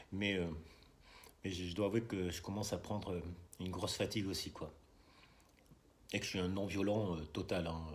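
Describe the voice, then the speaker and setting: Soft-spoken and very deep in pitch, a man talks in a flat monotone at a fairly quick pace, with long, frequent pauses. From France, Bordeaux. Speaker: political video blogger. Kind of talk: casual monologue vlog. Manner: halting, many hesitations.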